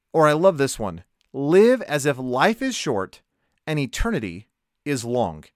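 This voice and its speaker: On a very clean recording with a silent background and a dry, close sound with no echo, a man speaks at a fairly high pitch with lively intonation. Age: 30s. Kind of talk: devotional monologue.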